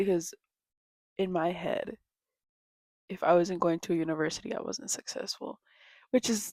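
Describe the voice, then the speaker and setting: A soft-spoken woman with a fairly low pitch at a moderate pace, in a dry, close sound with no echo. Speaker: vlogger. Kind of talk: casual rant.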